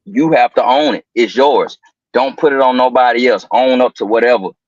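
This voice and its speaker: A man talks in an ordinary speaking voice with an American accent, medium in pitch and lively in intonation. The sound is dry and close, with no echo. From US South, Atlanta, Georgia (College Park). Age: 30s. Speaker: podcast guest. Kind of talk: casual motivational talk.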